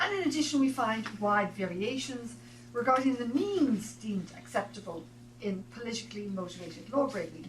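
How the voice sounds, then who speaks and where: Someone with an Irish accent speaks with very wide pitch swings amid audible room echo and noticeable background noise. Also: woman, medium pitch for a woman. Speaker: professor. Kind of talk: reading aloud. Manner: fast.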